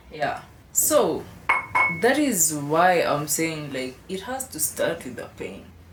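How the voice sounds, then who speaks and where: A woman with an African accent speaks at a very slow pace, her loudness swinging widely, with audible room echo and noticeable background noise. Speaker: shoe designer and company head. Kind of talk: casual interview.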